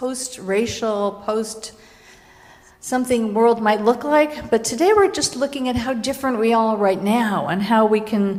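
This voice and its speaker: Audible room echo surrounds a woman's fairly high-pitched voice with ordinary pitch variation. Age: 60s. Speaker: minister. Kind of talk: sermon. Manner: conversational, with self-corrections.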